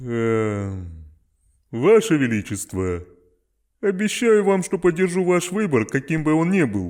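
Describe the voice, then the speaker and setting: With long, frequent pauses, a man in a put-on character voice moves at a moderate pace, his fairly high pitch taking very wide swings. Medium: dub.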